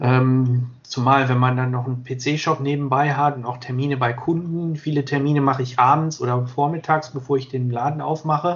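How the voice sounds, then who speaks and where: Somewhat breathy and fairly high for a man, his voice runs at a moderate pace in a monotone, flat way with hardly any pauses. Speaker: sports videographer. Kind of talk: interview.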